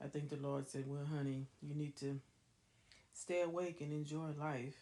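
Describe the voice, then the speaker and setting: A woman's very deep, low voice has a dark, mellow tone and moves at a moderate pace. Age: old. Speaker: elderly woman recording her life story. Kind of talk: personal reminiscence monologue. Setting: recording on a tablet at home.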